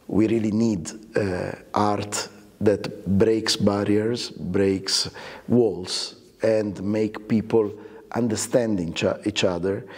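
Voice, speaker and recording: Speaking very slowly, a man uses a monotone, flat intonation and a fairly low pitch. He has an Italian accent. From Italy. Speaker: orchestra conductor. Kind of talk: interview. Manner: halting, many fillers.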